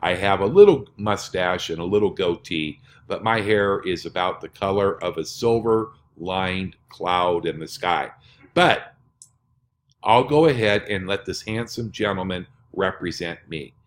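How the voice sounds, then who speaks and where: A man's fairly low-pitched, normal speaking voice at a fairly slow pace, with ordinary pitch variation, in a very clean recording with a silent background. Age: 60s. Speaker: network marketing presenter. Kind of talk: sales pitch.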